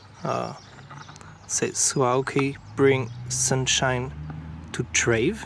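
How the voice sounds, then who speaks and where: Very slowly and with long, frequent pauses, a man speaks in a non-native accent over noticeable background noise. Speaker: product reviewer. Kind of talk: product review tutorial. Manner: hesitant, many fillers.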